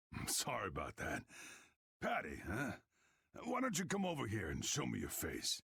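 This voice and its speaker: Putting on a character voice, a man sounds raspy at a moderate pace, with long, frequent pauses. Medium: video game. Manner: gruff, wry.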